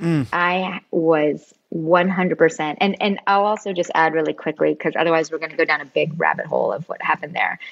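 A woman with an American accent talks with vocal fry at a fairly low pitch. She hardly pauses, and her intonation stays fairly even. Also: moderate pace. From US West Coast, San Francisco Bay Area. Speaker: former government intelligence analyst and tech employee. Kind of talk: interview conversation.

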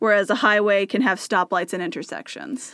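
On a very clean recording with a silent background, a woman with an American accent speaks in a bright, sharp tone. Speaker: podcast co-host. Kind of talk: casual chat. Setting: small hot room in a house.

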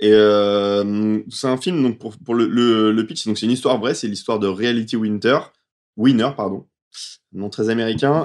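Against a quiet background, a man talks at a moderate pace with fairly even intonation. He has an unremarkable speaking voice pitched fairly low. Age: 30s. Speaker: film podcast panelist. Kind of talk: casual chat.

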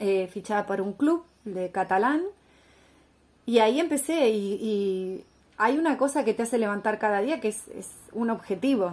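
This woman's pace is moderate and her pitch variation is ordinary. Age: 40s. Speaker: former Olympic swimmer and entrepreneur. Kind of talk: interview.

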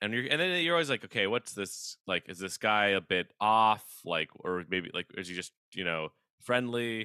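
A man speaks with a fairly low pitch and a calm tone. His intonation is lively and his pace moderate. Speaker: comedian and cartoonist. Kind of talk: casual interview chat. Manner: calm, laid-back.

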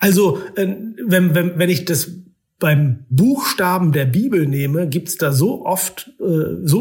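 A man's high-pitched voice moves with lively intonation. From northern Germany (Oldenburg). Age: 40s. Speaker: journalist and author. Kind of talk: interview conversation.

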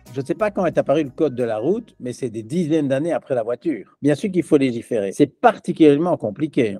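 Music in the background under a man talking very fast with hardly any pauses, lively intonation, a fairly high pitch and a dry, close sound with no echo. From Belgium. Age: 70s. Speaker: business philosopher. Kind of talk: interview.

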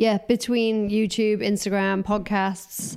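A woman's slow, clear, smooth voice with vocal fry, a slightly mellow tone and little pitch movement, on a very clean recording with a silent background. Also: medium pitch for a woman.

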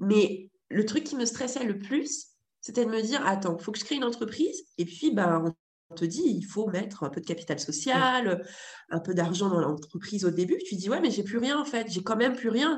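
A somewhat breathy woman with a fairly high pitch speaks at a moderate pace, her pitch swinging very widely. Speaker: entrepreneur and model agency founder. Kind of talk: casual interview conversation.

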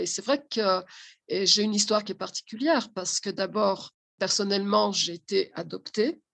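Vocal fry marks this voice, which moves at a fairly slow pace against a quiet background. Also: woman. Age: 60s. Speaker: social educator and family therapist. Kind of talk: interview.

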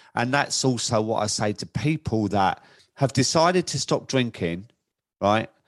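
A man with a plain, everyday voice, medium in pitch, at a fairly slow pace with ordinary pitch variation, against a quiet background. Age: 50s. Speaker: podcast host in alcohol recovery. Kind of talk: casual interview chat.

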